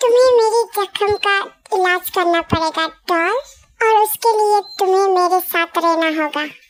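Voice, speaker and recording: At a fairly slow pace, a woman speaks in a put-on character voice. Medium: read story. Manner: possessive, domineering.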